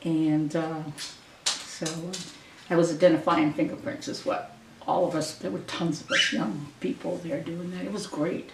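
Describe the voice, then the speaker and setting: A woman with an American accent talks at a moderate pace in a fairly low voice with lively intonation. Noticeable background noise and audible room echo fill the recording. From Maine, US (Grand Lake Stream). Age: 70s. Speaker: local resident sharing memories. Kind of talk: oral history interview. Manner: halting, with many fillers.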